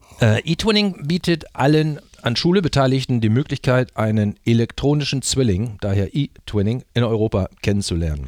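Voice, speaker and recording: Very clean and silent in the background, the recording has a dry, close sound with no echo. A man with a medium pitch talks at a moderate pace with very wide pitch swings and hardly any pauses. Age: 60s. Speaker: teacher and exchange program advisor. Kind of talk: interview. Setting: studio. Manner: hesitant, many fillers.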